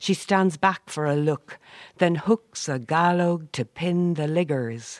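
Speaking at a very slow pace, a woman with an Irish Midlands accent uses ordinary pitch variation. The sound is dry and close, with no echo. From Ireland, County Roscommon. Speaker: poet. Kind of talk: poetry reading. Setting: community hall.

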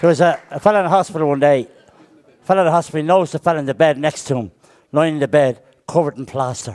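A man speaks at a very fast pace with a fairly high pitch. His pitch varies in an ordinary way. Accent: Irish. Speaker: comedian. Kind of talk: stand-up. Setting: stage with audience.

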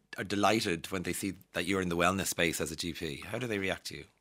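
A man with an Irish accent talks at a very fast pace in a fairly low pitch. His tone is bright and sharp on a very clean recording with a silent background. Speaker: radio host. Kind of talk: casual interview. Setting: studio.

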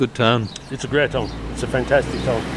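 A man with a Limerick accent speaks at a very fast pace and a medium pitch. Noticeable background noise runs beneath him. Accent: Irish (Limerick). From Kilmallock, Co. Limerick. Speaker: community volunteer. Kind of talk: casual chat.

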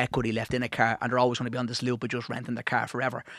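Speaking very fast with an Irish accent, a man at medium pitch is heard in a very clean recording with a silent background and a dry, close sound with no echo. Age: 40s. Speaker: financial adviser and author. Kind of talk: radio interview.

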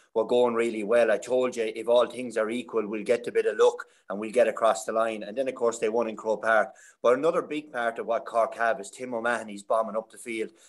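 With an Irish accent, a man speaks at a very fast pace, his loudness swinging widely. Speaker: hurling pundit, former player. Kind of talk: casual chat.

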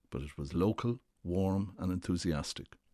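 A man with an Irish accent, dark and mellow in tone, with lively intonation against a quiet background. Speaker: former government official. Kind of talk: scripted narration.

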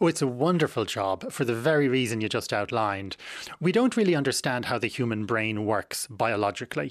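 A man with an Irish accent speaks at a medium pitch and a fairly quick pace, his intonation lively against a quiet background. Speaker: psychiatry professor and author. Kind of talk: radio interview. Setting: radio studio.

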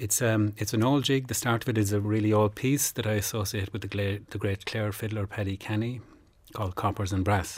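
In a Kerry accent, a man with a somewhat breathy, fairly low voice speaks at a fairly quick pace with fairly even intonation on a very clean recording with a silent background. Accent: Kerry Irish. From Ireland, North Kerry. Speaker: traditional accordion player. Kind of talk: radio interview. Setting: studio.

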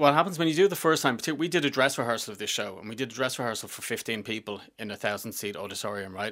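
Very fast and lively in intonation, a man with a Dublin accent speaks at a medium pitch with a bright, sharp tone, in a very clean recording with a silent background. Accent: Dublin Irish. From Dublin, Ireland (Finglas). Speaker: theatre writer and director. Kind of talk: casual interview. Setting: studio.

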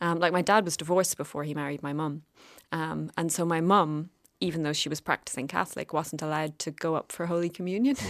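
A woman's fairly low-pitched voice in a Cork accent, very fast and fairly even in intonation, on a very clean recording with a silent background. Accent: Cork Irish. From Ireland, rural County Cork. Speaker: novelist and artist. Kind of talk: casual chat. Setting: studio.

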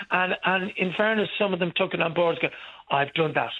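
Speaking with an Irish accent, a man talks at a fairly quick pace. His pitch is high, with ordinary variation. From Ireland. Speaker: pantomime actor. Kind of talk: phone-in call. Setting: phone call.

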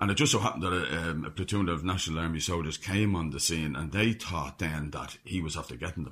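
Over a silent background in a very clean recording, a man with an Irish accent speaks at a very fast pace in a very deep, low pitch with ordinary pitch variation. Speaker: author. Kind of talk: radio interview.

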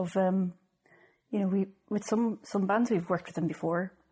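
A woman speaks with a northwest Irish accent at a medium pitch. Her tone is dark and mellow, somewhat breathy, with fairly even intonation. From Ireland, Sligo. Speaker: record label co-founder. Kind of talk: interview. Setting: office.

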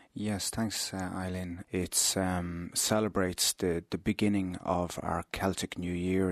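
A man with an Irish accent speaks in a very deep, low pitch with monotone, flat intonation. The sound is dry and close with no echo, against a quiet background. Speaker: interfaith minister. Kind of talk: radio interview.

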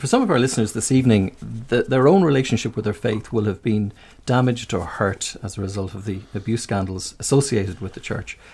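A man's somewhat breathy, medium-pitched voice at a fairly quick pace, with ordinary pitch variation and hardly any pauses. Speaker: radio host, interviewer. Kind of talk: radio interview.

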